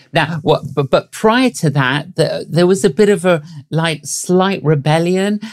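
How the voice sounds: A man's fairly high pitch with ordinary pitch variation, at a fairly slow pace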